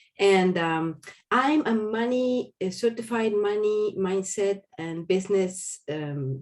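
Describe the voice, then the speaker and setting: A woman's medium-pitched voice with a Spanish accent and lively intonation. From Argentina. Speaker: business coach. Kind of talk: panel introduction.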